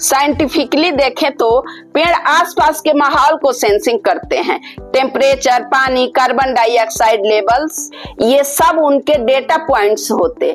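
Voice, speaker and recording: With music in the background, a woman speaks in a high voice with a playful, upbeat tone, lively intonation and very even loudness. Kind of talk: comedic monologue to camera.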